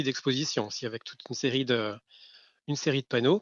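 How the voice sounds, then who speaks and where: This man has a medium-pitched voice. His pitch varies in an ordinary way. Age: 40s. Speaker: school librarian. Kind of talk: interview. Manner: hesitant, many fillers.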